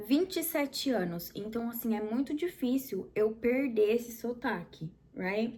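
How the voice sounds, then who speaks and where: A somewhat breathy woman in a Brazilian accent, with ordinary pitch variation. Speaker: English teacher, video host. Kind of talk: casual educational chat.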